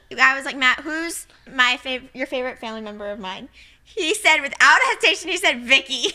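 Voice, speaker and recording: Raised and projected, a woman's high, bright, sharp voice carries lively intonation over a quiet background. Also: fairly quick pace. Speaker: podcast co-host. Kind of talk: casual chat. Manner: giggly. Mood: amused, playful. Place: home room. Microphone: studio mic.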